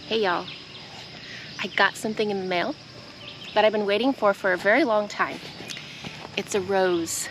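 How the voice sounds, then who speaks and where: Over noticeable background noise, a woman with an American accent and medium pitch speaks at a moderate pace, leaving long, frequent pauses. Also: ordinary pitch variation. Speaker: gardening vlogger. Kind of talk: casual vlog talk.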